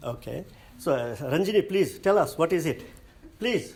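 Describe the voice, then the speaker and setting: A man speaks at a high pitch with a Nepali accent. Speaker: lecturer. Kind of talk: lecture. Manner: halting.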